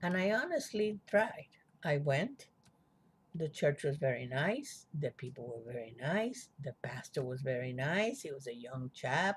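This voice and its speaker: This voice is somewhat breathy and moves at a fairly slow pace. Its pitch swings very widely. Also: woman, very deep, low pitch for a woman. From Cuba. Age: 70s. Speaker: spiritual vlogger. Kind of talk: personal testimony. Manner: reflective, conversational.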